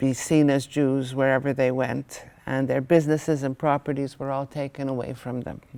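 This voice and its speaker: In a very deep, low pitch, a woman speaks at a fairly slow pace with monotone, flat intonation. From Hungary, raised in Montreal, Canada. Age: 70s. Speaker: Holocaust survivor. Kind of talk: testimony.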